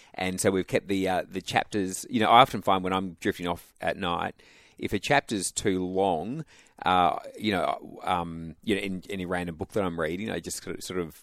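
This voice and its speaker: Very deep, low-pitched male voice with an Australian accent, dry and close with no echo. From Western Australia (Albany, Perth). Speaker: pastor. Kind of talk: radio interview. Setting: radio studio.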